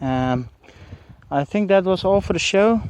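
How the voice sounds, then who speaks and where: A man with an Afrikaans accent speaks at a high pitch. The sound is dry with no echo, and there is light background noise. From South Africa. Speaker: YouTuber doing shooting videos. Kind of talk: casual video commentary. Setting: outdoors at shooting range. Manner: hesitant, many fillers. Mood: relaxed, amused. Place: open country. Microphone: phone near.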